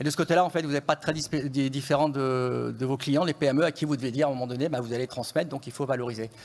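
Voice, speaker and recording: A man talks at a very fast pace with hardly any pauses. His pitch is fairly high and his intonation fairly even. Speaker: economist. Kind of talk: conference presentation. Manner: usually speaks softly and fast; hesitant, many fillers.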